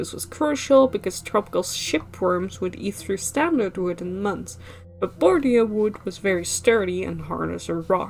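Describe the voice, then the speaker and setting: Over music in the background, the speaker goes at a moderate pace with big swings in loudness. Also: woman. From Netherlands. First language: Dutch. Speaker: game streamer. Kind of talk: reading aloud. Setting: live stream.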